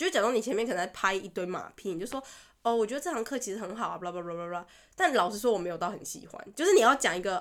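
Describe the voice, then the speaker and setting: On a very clean recording with a silent background, a woman talks at a very fast pace in a medium pitch, with an animated tone, lively intonation, and big swings in loudness. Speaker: podcast co-host. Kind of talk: casual chat. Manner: animated, laughs often.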